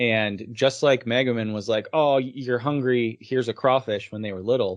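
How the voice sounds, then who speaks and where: This man has a normal speaking voice at medium pitch. He talks at a moderate pace with fairly even intonation. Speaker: podcast co-host. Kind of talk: casual chat.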